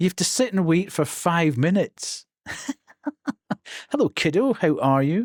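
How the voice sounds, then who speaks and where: Someone speaks at a moderate pace with a Scottish accent. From Scotland. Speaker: streamer. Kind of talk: live stream chat. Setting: live stream.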